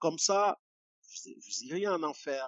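Pitched fairly high, a man with an unremarkable speaking voice keeps a moderate pace and ordinary pitch variation. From Cameroon, village near Yaoundé. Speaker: poet and activist. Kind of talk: interview. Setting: video call.

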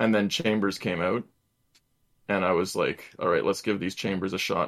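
A man with a fairly low pitch. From Canada. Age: 20s. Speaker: gamer and streamer. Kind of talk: casual chat. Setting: video call.

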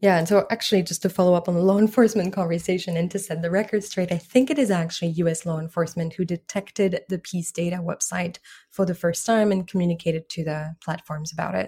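Somewhat breathy and very fast, the voice keeps a fairly even intonation with hardly any pauses, on a very clean recording with a silent background. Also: woman, fairly low pitch for a woman. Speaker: disinformation researcher. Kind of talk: interview answers.

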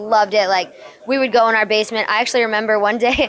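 Over noticeable background noise, a woman with an American accent talks at a very fast pace. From US, New Jersey. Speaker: professional wrestler. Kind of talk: interview. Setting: WrestleMania media day.

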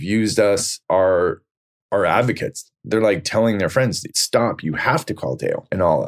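A man with an ordinary speaking voice, fairly low in pitch, with an American accent, ordinary pitch variation and a fairly slow pace. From US West Coast, Silicon Valley. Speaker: real estate broker. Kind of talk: casual interview.

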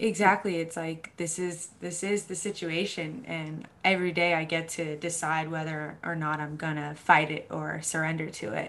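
A woman with an American accent has a plain, everyday voice at a fairly low pitch. She keeps a moderate pace and fairly even intonation, with hardly any pauses. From US Northeast, Boston, Massachusetts. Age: 20s. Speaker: mental health advocate. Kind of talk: casual interview chat.

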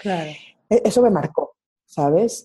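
A woman talks in a Mexico City accent at a medium pitch, with lively intonation. Her tone is dark and mellow, somewhat breathy. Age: 30s. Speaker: marketer and coach. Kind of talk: casual interview. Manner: animated.

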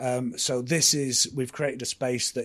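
The man talks at a medium pitch in a monotone, flat delivery. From northern England, Blackpool. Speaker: music venue leader. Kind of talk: live panel discussion. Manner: loud.

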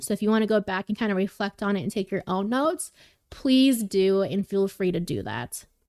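With a plain, everyday voice, a woman speaks at a medium pitch with ordinary pitch variation, in a dry, close recording with no echo, very clean and with a silent background. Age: 20s. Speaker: podcast host. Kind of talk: casual chat.

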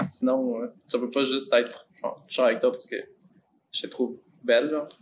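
The speaker is a man. He talks at a moderate pace. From Mexico. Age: 20s. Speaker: acting student. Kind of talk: casual chat.

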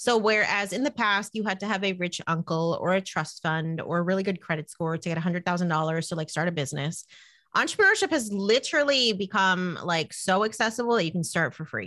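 With a New Jersey accent, a woman talks at a fairly quick clip in a medium pitch, her tone bright and sharp and her intonation lively, over a quiet background. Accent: American, New Jersey. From New Jersey, US. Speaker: money coach and podcaster. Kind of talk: casual interview.

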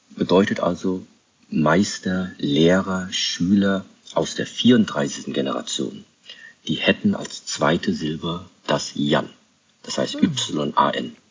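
Leaving long, frequent pauses, a man talks at a very slow pace. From Germany, Kaiserslautern (Rhineland-Palatinate). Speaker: Shaolin master and monastery leader. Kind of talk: interview conversation.

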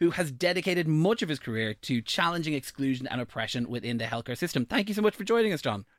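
A man speaks very fast with an Irish accent and lively intonation, recorded dry and close with no echo, very clean against a silent background. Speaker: radio host. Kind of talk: radio presenting. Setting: radio studio.

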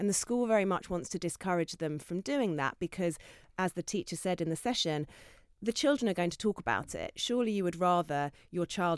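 A woman speaks at a fairly quick pace with a southern English accent, her pitch fairly low. The recording is very clean, with a silent background. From Essex, England. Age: 40s. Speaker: children's author. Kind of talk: panel discussion.

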